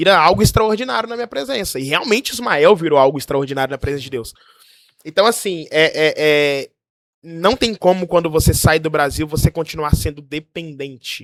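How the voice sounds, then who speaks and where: Lively intonation runs through a man's normal speaking voice. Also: fairly high pitch for a man, moderate pace. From Brazil. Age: 20s. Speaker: pastor living abroad. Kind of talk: casual chat, testimony.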